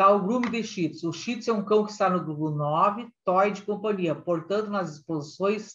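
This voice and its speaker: With ordinary pitch variation, this woman's voice sits at a medium pitch. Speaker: dog breeder and lecturer. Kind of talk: lecture. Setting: online lecture with slides. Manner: fast.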